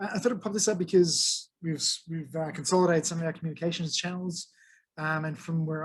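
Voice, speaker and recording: A man talks at a very fast pace with an Australian accent. His pitch sits fairly high and his intonation stays fairly even. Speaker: tech meetup presenter. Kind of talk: presentation to a meetup. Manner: casual, hesitant with fillers.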